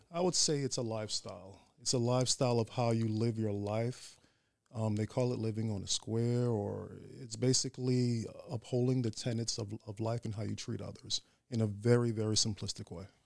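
An ordinary speaking voice belongs to this man, pitched at a medium level. He moves at a fairly quick pace with fairly even intonation. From Staten Island, New York. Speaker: Ifa priest. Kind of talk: interview.

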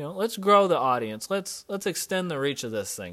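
This man's voice has very wide pitch swings. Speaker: fitness coach and podcast host. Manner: emphatic, punchy, commanding, repeating key phrases; upbeat, casual, coach-like, chatty.

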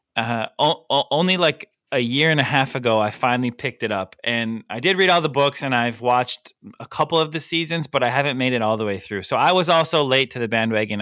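An unremarkable speaking voice with an American accent, lively intonation and a fairly quick pace. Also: man. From United States. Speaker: podcast co-host. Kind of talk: casual chat.

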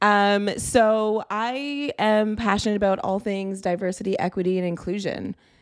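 A woman talks at a moderate pace with fairly even intonation and hardly any pauses. The recording is very clean, with a silent background. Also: medium pitch for a woman. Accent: Toronto. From Canada, Greater Toronto Area. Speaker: diversity and inclusion director. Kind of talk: casual chat.

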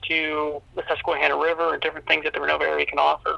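A man speaks with an American accent. The sound is dry and close with no echo, and background noise is noticeable. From Pennsylvania. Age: young. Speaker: small-town mayor. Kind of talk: interview. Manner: halting, with many fillers and repeats.

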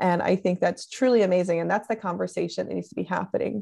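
A speaker with an American accent is heard in a very clean recording with a silent background. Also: woman. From US South, Tennessee. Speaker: podcast co-host. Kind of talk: casual chat.

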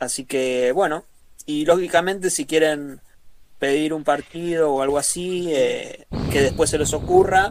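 A man speaks fairly slowly with a Rioplatense accent, his voice fairly high and his intonation fairly even. Noticeable background noise is present. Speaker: football stream co-host. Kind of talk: casual chat. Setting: online group call.

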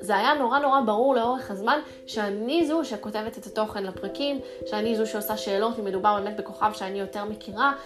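At a fairly quick pace, a woman speaks with a fairly high pitch. Noticeable background noise and audible room echo come through. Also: lively intonation. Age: 20s. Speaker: journalist and podcast host. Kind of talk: solo podcast monologue.

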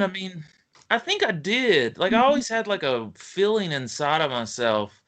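A man speaks with a strong Appalachian accent. His pitch swings very widely at a moderate pace. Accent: Appalachian US, thick. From West Virginia, US. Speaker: author. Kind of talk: casual interview.

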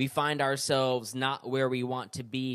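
Over a very clean recording with a silent background, a man uses a normal speaking voice at medium pitch and a moderate pace. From California then New York. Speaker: podcast host. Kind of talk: solo podcast talk, book review. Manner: casual, many fillers.

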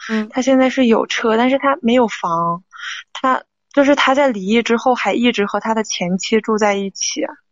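Her pitch moves in an ordinary way. The woman's voice sits fairly high. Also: moderate pace. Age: 20s. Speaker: caller seeking relationship advice. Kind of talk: advice call-in. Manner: halting.

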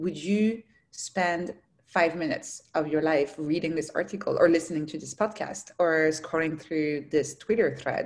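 A woman talks at a fairly slow pace in a fairly low voice with ordinary pitch variation. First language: not English. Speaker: founder of an online learning platform and writer. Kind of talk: interview.

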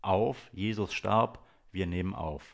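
Very clean and silent in the background, this recording features a man with a very deep, low pitch. His pitch varies an ordinary amount. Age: 40s. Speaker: podcast co-host, DJ and TV worker. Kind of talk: casual chat. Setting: home recording with baby sleeping on his chest.

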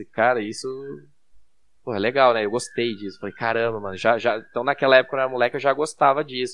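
Against a quiet background, a man with an ordinary speaking voice talks at a medium pitch with fairly even intonation. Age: 30s. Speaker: security engineer. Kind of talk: casual chat.

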